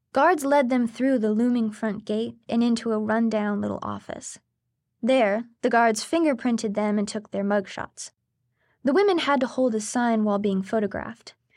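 A woman talks at a fairly high pitch in a plain, everyday voice. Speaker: narrator. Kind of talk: true-crime narration. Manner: measured, grave, steady storytelling pace.

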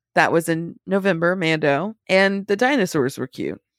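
Recorded very cleanly with a silent background and a dry, close sound free of echo, an unremarkable speaking voice moves at a fairly slow pace with fairly even intonation. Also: woman. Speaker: podcast co-host. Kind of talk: casual podcast chat.

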